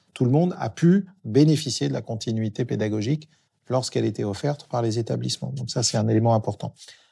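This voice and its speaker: A man with a medium pitch speaks at a moderate pace with lively intonation and a dark, mellow tone on a very clean recording with a silent background. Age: 50s. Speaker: public digital agency director. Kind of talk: interview. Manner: hesitant with fillers.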